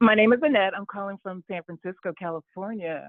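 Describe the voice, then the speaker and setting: A woman speaks at a medium pitch, in a normal speaking voice. Her pitch varies in an ordinary way. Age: 60s. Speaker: caller. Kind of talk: call-in testimony.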